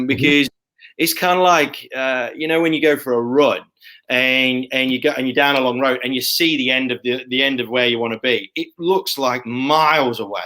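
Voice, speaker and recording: This man has a bright, sharp tone and medium pitch, talking at a moderate pace with fairly even intonation. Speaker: podcast host. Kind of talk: interview host talk.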